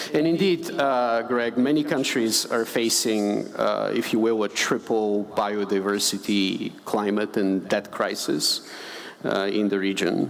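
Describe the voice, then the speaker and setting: Over noticeable background noise, a man at a medium pitch talks at a fairly slow pace, with ordinary pitch variation and very even loudness. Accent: Bulgarian. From Bulgaria. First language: Bulgarian. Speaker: conservation finance director. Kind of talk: panel discussion.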